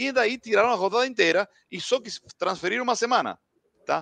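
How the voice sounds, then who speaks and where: A high-pitched man with an Argentine accent, very fast delivery, lively intonation, a bright, sharp tone and dry, close sound without echo. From Argentina, Buenos Aires area. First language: Spanish (speaking Portuguese). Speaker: football commentator. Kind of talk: casual post-match chat. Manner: halting, mixing Spanish and Portuguese.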